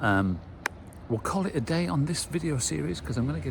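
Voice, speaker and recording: Speaking at a fairly quick pace, a man has a British accent. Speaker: car restoration vlogger. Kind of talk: casual vlog commentary. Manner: hesitant, many fillers.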